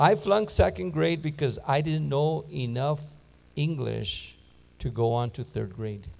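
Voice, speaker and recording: Speaking fairly slowly with a Spanish accent, a man uses a somewhat breathy, fairly high voice and lively intonation. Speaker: Bible teacher. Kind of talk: sermon.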